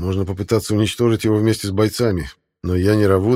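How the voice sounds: A natural reading voice holds fairly even intonation over a quiet background.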